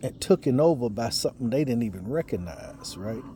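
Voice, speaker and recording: Intonation is lively in this man's voice. His tone is dark and mellow. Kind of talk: casual monologue, religious commentary. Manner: trying to speak loud; repetitive, halting.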